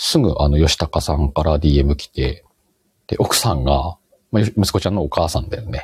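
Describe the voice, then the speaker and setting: In a dry, close sound with no echo, a man speaks at a moderate pace with a very deep, low pitch and ordinary pitch variation. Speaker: podcast host. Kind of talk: casual chat. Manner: speeds up when excited.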